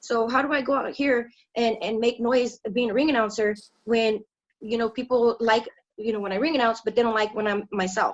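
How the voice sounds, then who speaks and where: The speaker is a woman with fairly high pitch. She talks at a fairly quick pace. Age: 30s. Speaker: professional wrestling ring announcer. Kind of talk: interview conversation. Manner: animated, spunky; casual slangy speech.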